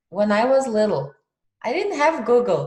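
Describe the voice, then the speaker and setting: A woman in a Russian accent, fairly high-pitched, at a moderate pace with very wide pitch swings. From Kazakhstan. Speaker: podcast host. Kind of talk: casual interview chat.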